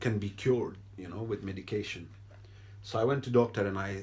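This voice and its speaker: A man with a non-native accent speaks at a fairly quick pace in a fairly low, somewhat breathy voice. His intonation is monotone and flat. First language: not English. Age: 30s. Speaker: video blogger. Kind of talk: personal testimony. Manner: hesitant, with fillers.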